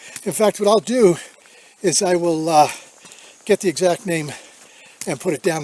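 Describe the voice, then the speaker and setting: A man speaks at a moderate pace in a high pitch, with ordinary pitch variation. The sound is dry and close with no echo, though background noise is noticeable. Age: 70s. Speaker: hiking vlogger. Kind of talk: casual vlog Q&A. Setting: outdoors on a hike. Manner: halting with fillers.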